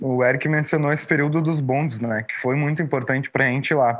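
A man talks at a fairly quick pace in an unremarkable speaking voice with a fairly high pitch and ordinary pitch variation. The recording is very clean, with a silent background. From southern Brazil, Porto Alegre (Restinga). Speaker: visual artist. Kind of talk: interview.

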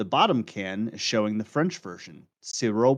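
The pace is fairly slow with ordinary pitch variation. It is a normal speaking voice. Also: man. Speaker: podcast co-host. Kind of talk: casual chat.

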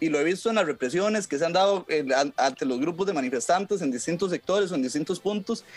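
A man speaks very fast in a Costa Rican accent, his pitch high. His intonation is lively while his loudness stays very even. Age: 20s. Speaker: legal commentator. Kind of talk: casual chat.

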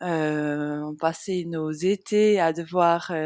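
A woman speaks with fairly even intonation. The sound is dry and close, with no echo. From Switzerland, Jura region. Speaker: nutrition coach and podcast host. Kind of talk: personal storytelling monologue. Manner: unscripted, hesitant with fillers.

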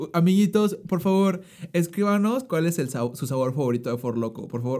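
Over a silent background on a very clean recording, a man with a dark, mellow tone speaks fairly quickly with lively intonation. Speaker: podcast co-host. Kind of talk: casual chat. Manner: excitable.

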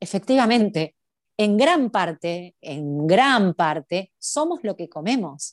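Very slow speech with very wide pitch swings comes through a dry, close sound with no echo over a quiet background. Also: woman, medium pitch for a woman. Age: 30s. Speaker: cooking and art teacher. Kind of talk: interview.

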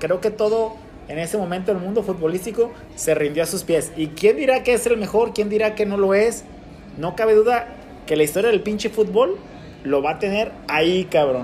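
A man's high voice moves at a moderate pace, its pitch varying in an ordinary way. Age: 40s. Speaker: podcast host. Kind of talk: casual chat.

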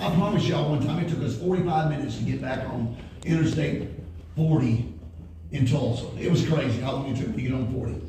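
A man with a medium pitch and an animated tone, fairly quick pace, ordinary pitch variation, and noticeable background noise. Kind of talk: sermon. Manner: animated, call-and-response, rallying the congregation; loud, forceful, punchy, sometimes laughing and sarcastic.

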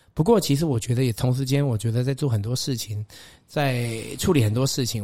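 Over a silent background on a very clean recording, a man talks at a fairly quick pace and medium pitch. His voice is somewhat breathy, with a dark, mellow tone. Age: 40s. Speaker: podcast host. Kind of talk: interview.

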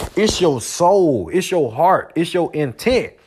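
Here a man speaks with a high pitch. His pace is moderate. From US South, Georgia. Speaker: podcast host. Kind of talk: motivational monologue. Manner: frequent repetitions and false starts.

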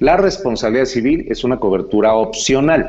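A man with a Mexican accent, medium pitch and a moderate pace. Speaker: insurance agent. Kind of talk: casual chat.

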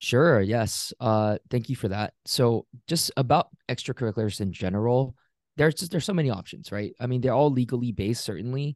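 In a normal speaking voice, a man talks at a fairly quick pace with a medium pitch and lively intonation, the sound dry and close with no echo against a quiet background. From Singapore, then Pennsylvania from childhood. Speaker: law student. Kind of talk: interview.

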